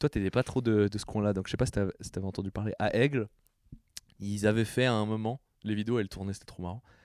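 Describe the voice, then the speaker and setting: Very fast speech from a man with a fairly low pitch comes through dry and close with no echo on a very clean recording with a silent background. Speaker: podcast co-host. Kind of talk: casual chat. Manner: animated.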